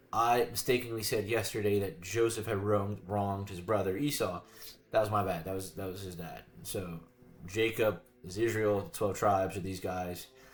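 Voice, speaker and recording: Somewhat breathy, a man talks at a moderate pace with fairly even intonation but big swings in loudness. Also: fairly low pitch for a man. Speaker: video creator reading the Bible. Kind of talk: casual Bible reading commentary to camera.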